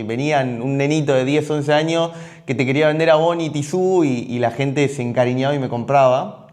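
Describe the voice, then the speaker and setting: At a moderate pace, a man with a Rioplatense accent talks at a fairly high pitch with ordinary pitch variation. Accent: Argentine Rioplatense Spanish. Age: 30s. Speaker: entrepreneur, gym and supplement store owner. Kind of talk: personal life story monologue. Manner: halting, many fillers and repetitions.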